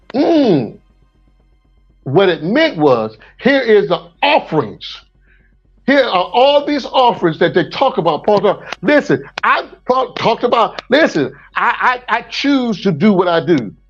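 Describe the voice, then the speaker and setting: With music in the background, a high-pitched man speaks in an animated tone with very wide pitch swings and very even loudness. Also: fairly slow pace. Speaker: preacher. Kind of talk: teaching in an open group discussion.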